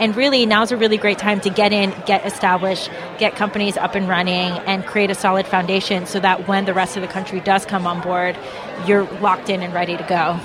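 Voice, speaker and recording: A woman speaks at a fairly quick pace and medium pitch in a monotone, flat intonation. Background noise is noticeable. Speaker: investment group representative. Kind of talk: interview. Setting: conference floor.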